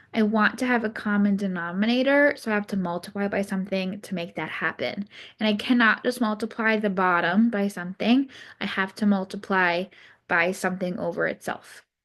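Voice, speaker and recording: Her pace is fairly quick. The woman talks at medium pitch with ordinary pitch variation. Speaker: math teacher. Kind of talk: recorded lesson. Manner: casual, hesitant.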